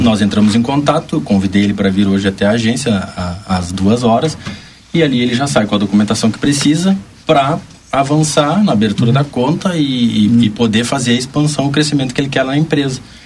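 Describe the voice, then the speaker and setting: A man speaks at a fairly quick pace and medium pitch, with lively intonation. Noticeable background noise runs under him. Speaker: bank representative. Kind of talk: radio interview.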